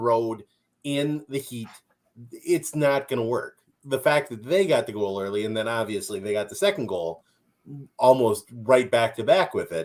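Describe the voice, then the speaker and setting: With lively intonation, a man delivers his speech at a moderate pace. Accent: Minnesotan. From Minnesota. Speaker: soccer podcast co-host. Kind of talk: casual sports recap chat. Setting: live stream.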